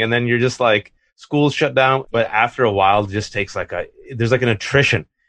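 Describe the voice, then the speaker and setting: A man with an American accent at a very fast pace, medium pitch and ordinary pitch variation, over a quiet background. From California (Fremont). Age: 40s. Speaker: columnist and author. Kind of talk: interview conversation. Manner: animated.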